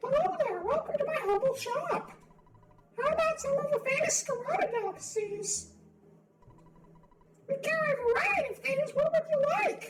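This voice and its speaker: A put-on character voice, extremely high in pitch, moves at a moderate pace with long, frequent pauses. Music plays in the background. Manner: welcoming, put-on.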